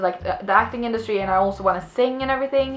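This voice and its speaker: A woman speaks with a slight Swedish accent. Noticeable background noise sits behind her. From Sweden. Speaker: vlogger, actress. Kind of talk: casual storytelling vlog. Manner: many fillers and restarts.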